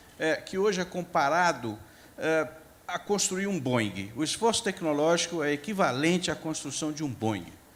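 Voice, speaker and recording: With lively intonation and a moderate pace, this is an ordinary speaking voice. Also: man. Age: 60s. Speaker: agricultural scientist, panelist. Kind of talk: panel discussion talk. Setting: stage at a conference forum. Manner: informal, conversational.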